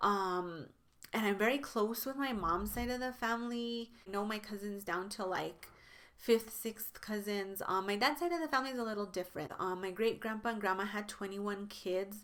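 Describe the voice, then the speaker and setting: A woman's medium-pitched voice with an American accent, moderate pace and ordinary pitch variation. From New Mexico, US. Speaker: beauty YouTuber. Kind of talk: casual vlog talk to camera. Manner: conversational, many fillers.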